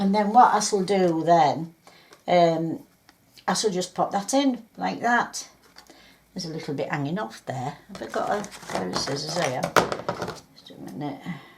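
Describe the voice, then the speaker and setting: Over noticeable background noise, a woman with a fairly low pitch talks at a moderate pace, with lively intonation, big swings in loudness, and long, frequent pauses. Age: 70s. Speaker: crafter. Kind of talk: crafting tutorial. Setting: home craft room. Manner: chatty, hesitant with fillers.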